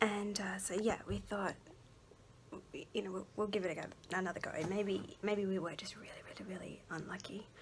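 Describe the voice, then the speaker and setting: A woman talks at a moderate pace in a monotone, flat voice. Her loudness swings widely. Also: medium pitch for a woman. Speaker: vlogger, mother. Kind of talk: personal testimony vlog. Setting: at home. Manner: soft-spoken; hesitant, many fillers.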